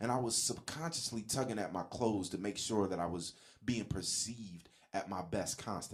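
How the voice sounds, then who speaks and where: A man with a plain, everyday voice keeps a moderate pace, his fairly low pitch varying in an ordinary way. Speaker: motivational podcast host. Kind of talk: solo podcast monologue. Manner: casual, conversational.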